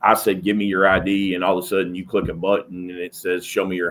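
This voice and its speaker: Speaking at a fairly quick pace, a man talks. His pitch is very deep and low. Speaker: police sergeant and trainer. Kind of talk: interview conversation.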